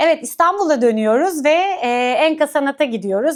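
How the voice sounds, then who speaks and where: Over a silent background in a very clean recording, a woman speaks at a moderate pace with lively intonation. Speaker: culture and arts show host. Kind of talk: event agenda presentation to camera. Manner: many filler hesitations.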